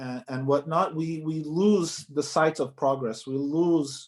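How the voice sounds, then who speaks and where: A plain, everyday voice from a man, fairly high-pitched, at a fairly slow pace. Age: young. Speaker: article writer. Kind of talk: interview answer.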